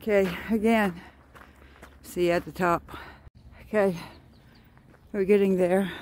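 The sound is dry with no echo, and the speech moves at a moderate pace. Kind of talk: casual vlog chat. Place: open country. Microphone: phone near.

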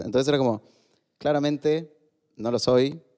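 A man talks at a moderate pace. His tone is dark and mellow over a quiet background. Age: 30s. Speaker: author and LGBT activist; podcast guest. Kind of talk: casual interview. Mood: reflective, personal storytelling. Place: studio. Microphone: studio mic.

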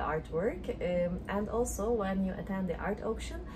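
A woman talks at a moderate pace while noticeable background noise runs underneath. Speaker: travel vlogger. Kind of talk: casual vlog chat. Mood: relaxed, cheerful. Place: home room. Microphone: phone near.

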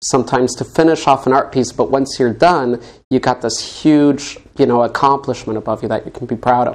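This man has a normal speaking voice, medium in pitch, moving at a moderate pace with ordinary pitch variation. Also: quiet background. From Colorado, US. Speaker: interview show host. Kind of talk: casual interview chat. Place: studio.

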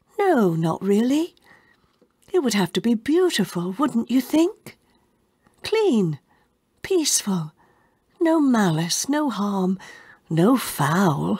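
In a theatrical, calm tone and a somewhat breathy voice, the speaker goes very slowly with long, frequent pauses, very wide pitch swings and very even loudness. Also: woman, fairly high pitch for a woman. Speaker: audiobook narrator. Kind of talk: dramatic audiobook narration, dialogue read in solemn character voices. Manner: formal, old-fashioned phrasing delivered with reverent, theatrical pacing.

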